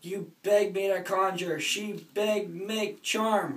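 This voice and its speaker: Someone uses a put-on character voice at a middle pitch, with fairly even intonation and a very slow pace. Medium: stage play. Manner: broken dialect speech.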